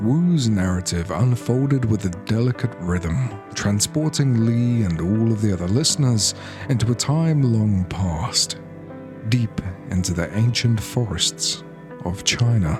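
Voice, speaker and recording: Music plays in the background as the speaker talks at a fairly slow pace. The intonation is lively. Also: man, medium pitch for a man. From British. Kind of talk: sleep story. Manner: calm, soft-spoken.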